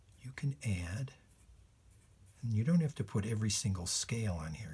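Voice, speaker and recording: A man with a fairly low, somewhat breathy voice speaks with lively intonation on a very clean recording with a silent background. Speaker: illustrator and children's drawing teacher. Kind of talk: tutorial.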